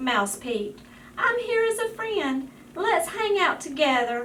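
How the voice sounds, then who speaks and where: Against clear background noise, a woman uses a squeaky, put-on character voice of extremely high pitch, with very wide pitch swings and a fairly slow pace. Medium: read story. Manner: timid, hesitant.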